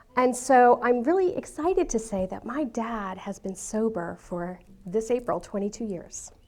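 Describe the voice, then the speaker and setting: The speaker has a New York accent. The pace is moderate and the intonation lively. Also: woman, fairly high pitch for a woman. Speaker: speaker sharing her life story. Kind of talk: talk to an audience.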